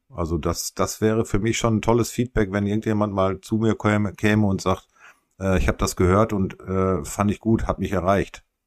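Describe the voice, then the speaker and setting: A man speaks at a moderate pace with a fairly low pitch. His loudness stays very even, and his intonation is fairly even. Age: 50s. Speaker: podcast co-host. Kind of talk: casual chat. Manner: halting.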